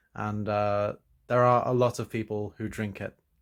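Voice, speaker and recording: A man speaks in an English Midlands accent with fairly even intonation. The recording is very clean, with a silent background. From England, East Midlands (Leicester). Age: 20s. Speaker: student. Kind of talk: interview answers. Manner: hesitant, many fillers.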